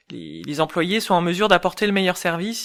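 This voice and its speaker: A woman talks with ordinary pitch variation. The background is silent and the recording very clean. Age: 40s. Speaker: ergonomist and UX expert. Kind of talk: interview.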